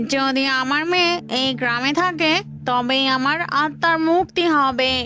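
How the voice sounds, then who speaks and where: A female-sounding cartoonish character voice, high-pitched, at a fairly slow pace with clear background noise. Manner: fierce, commanding.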